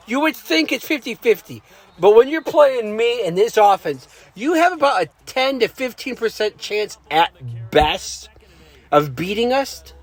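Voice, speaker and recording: With noticeable background noise behind him, a man speaks fairly slowly at an extremely high pitch, making very wide pitch swings. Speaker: gaming commentator. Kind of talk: gameplay commentary. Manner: slightly slurred words; casual, hesitant with fillers.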